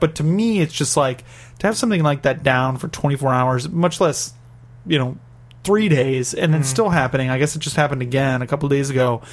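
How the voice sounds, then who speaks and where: A man's fairly high pitch, varying in an ordinary way, comes through in an ordinary speaking voice. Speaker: podcast host. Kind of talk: casual banter. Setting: in Japan. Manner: jokey, chatty.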